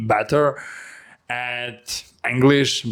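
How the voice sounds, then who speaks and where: A man talks at a medium pitch with a non-native accent. His intonation stays fairly even. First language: not English. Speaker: language learner vlogger. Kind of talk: personal vlog monologue. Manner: halting.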